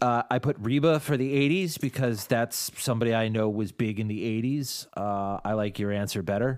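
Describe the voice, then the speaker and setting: This man has a plain, everyday voice with a medium pitch and ordinary pitch variation. He speaks at a moderate pace on a very clean recording with a silent background. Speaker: podcast host and trivia contestant. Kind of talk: casual banter in a trivia game. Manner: self-deprecating, joking.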